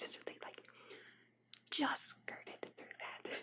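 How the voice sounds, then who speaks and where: A woman is whispering. Her pace is fairly slow. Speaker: ASMR content creator. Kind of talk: ASMR fact reading. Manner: whispered.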